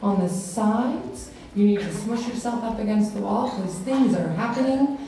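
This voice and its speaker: A woman at a moderate pace, with strong room echo and light background noise. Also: ordinary pitch variation. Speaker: music teacher hosting assembly. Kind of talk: announcement to audience. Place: hall.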